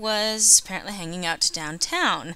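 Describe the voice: Speaking at a moderate pace, a woman has a bright, sharp tone.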